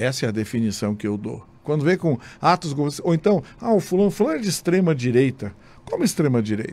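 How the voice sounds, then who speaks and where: Animated in tone, a man with a fairly high pitch speaks in very wide pitch swings. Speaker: state deputy and journalist-commentator; politician guest. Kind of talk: radio interview. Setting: radio studio. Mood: critical, argumentative. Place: studio. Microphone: studio mic.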